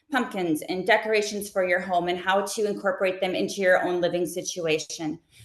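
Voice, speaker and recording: A woman's fairly quick speech with hardly any pauses and ordinary pitch variation. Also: medium pitch for a woman. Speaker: content creator and live shopping host. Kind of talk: webinar interview. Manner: fast; animated.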